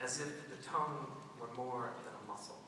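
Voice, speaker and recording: Noticeable background noise accompanies this man's speech. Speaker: poet, high school English teacher. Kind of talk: poetry reading.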